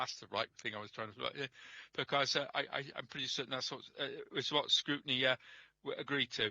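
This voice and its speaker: A man mumbles at a fairly quick pace, the sound dry and close with no echo. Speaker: councillor. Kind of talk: council meeting debate. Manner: halting, many fillers; mumbling.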